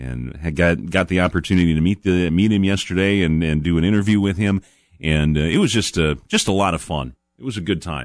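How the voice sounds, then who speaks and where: Against a quiet background, a man with a very deep, low pitch talks at a fairly quick pace with ordinary pitch variation. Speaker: outdoors radio show host. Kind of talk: casual radio talk. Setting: radio studio. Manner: halting, many fillers.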